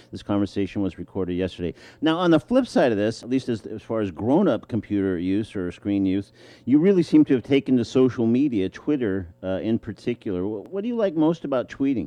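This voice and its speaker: This man has an ordinary speaking voice and talks at a fairly quick pace. His intonation is lively. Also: medium pitch for a man. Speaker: radio host. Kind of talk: radio interview.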